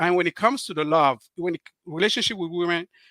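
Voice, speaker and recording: A man's bright, sharp voice with a Cameroonian French accent at a very fast pace, dry and close with no echo, on a very clean recording with a silent background. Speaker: author and relationship speaker. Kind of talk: interview on live stream. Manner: halting, many fillers.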